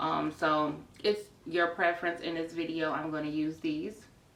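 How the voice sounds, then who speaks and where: A woman's very deep, low voice with ordinary pitch variation, audible room echo and noticeable background noise. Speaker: notary signing agent. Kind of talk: tutorial. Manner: casual, with frequent fillers.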